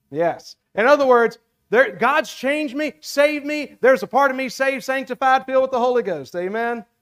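A man with an American accent talks at a fairly quick pace. The recording is very clean, with a silent background and a dry, close sound with no echo. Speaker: preacher. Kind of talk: sermon. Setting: church.

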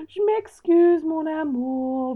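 A woman's put-on character voice at extremely high pitch. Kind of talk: apologetic French phrase. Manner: flat, bored, mocking.

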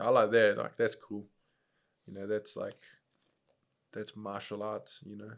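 A man with a New Zealand accent talks fairly slowly, leaving long, frequent pauses. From New Zealand, Upper Hutt, Wellington. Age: 20s. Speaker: professional kickboxer and MMA fighter. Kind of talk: casual chat.

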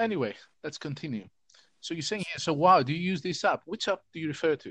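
Talking fast with lively intonation, a man delivers his words at a fairly high pitch in a fairly bright tone.

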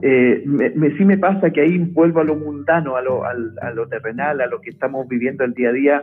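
Hardly pausing, a man with a normal speaking voice talks at a fairly quick pace, his fairly high pitch varying in an ordinary way. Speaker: forestry engineer and agency director. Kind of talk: interview conversation.

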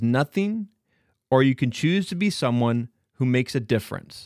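In a very clean recording with a silent background, a man of medium pitch speaks at a moderate pace with lively intonation. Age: 40s. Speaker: podcast co-host and producer. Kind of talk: scripted narration.

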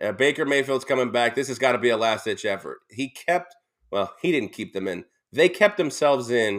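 A man with an ordinary speaking voice talks at a fairly quick pace, using a medium pitch and lively intonation. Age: 30s. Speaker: sports radio co-host. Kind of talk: casual sports talk.

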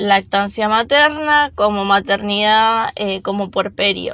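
Very slow, bright, sharp speech from a woman at fairly high pitch, with ordinary pitch variation, in a very clean recording against a silent background. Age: 20s. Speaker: mother sharing birth experience. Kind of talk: personal testimony. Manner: hesitant, with fillers.

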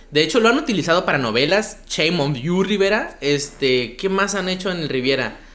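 Through noticeable background noise and audible room echo, a man with a high pitch talks at a fairly quick pace with lively intonation and hardly any pauses. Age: 20s. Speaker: comedy podcast host. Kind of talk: casual comedic chat.

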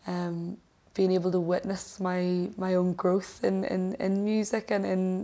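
A woman speaks at a medium pitch in a Northern Irish accent, her intonation flat and monotone. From Northern Ireland (Lisburn, Fermanagh). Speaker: musician. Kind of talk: casual interview chat. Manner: hesitant, many fillers.

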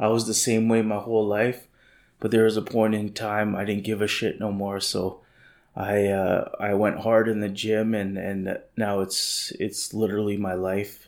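The very clean recording, with a silent background, captures a man at a fairly low pitch speaking at a moderate pace in a monotone, flat intonation. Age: 30s. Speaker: podcast host, lifestyle entrepreneur. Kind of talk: casual monologue. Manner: halting, many fillers.

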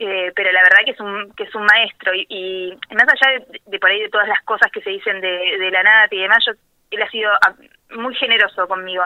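At a fairly quick pace, a woman speaks at medium pitch with fairly even intonation. Her loudness swings widely. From Argentina, rural Buenos Aires province near Necochea. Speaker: journalist. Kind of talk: interview. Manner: halting, repeats words.

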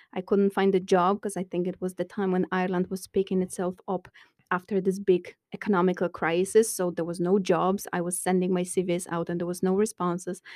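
Recorded very cleanly with a silent background, a woman with a medium pitch sounds dry and close, with no echo. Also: fairly quick pace. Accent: Polish. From Poland. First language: Polish. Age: 30s. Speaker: construction engineer. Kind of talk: casual interview. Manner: loud; bubbly, animated.

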